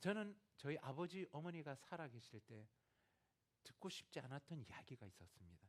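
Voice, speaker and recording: Speaking with a Gyeongsang accent at a moderate pace, a man lets his pitch swing very widely. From Gyeongsang, South Korea. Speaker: missionary. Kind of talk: sermon.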